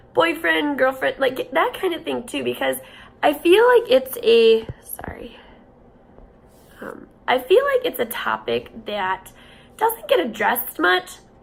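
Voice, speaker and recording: The pace is fairly slow. Long pauses come often. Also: woman. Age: 20s. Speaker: vlogger living with cystic fibrosis. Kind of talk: personal vlog storytelling. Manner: casual, hesitant with fillers.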